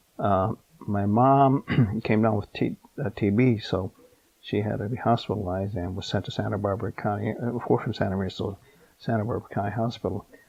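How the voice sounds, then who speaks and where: In an American accent, a man talks at a fairly quick pace with a fairly low pitch and fairly even intonation. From California, USA. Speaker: Japanese American former internment camp incarceree. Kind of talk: oral history interview answer. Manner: hesitant, with many fillers.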